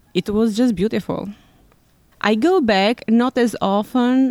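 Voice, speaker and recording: Recorded with dry, close sound and no echo, a woman speaks with an Albanian accent. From Albania, Tirana. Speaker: immigrant interviewee working in law. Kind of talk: personal storytelling interview.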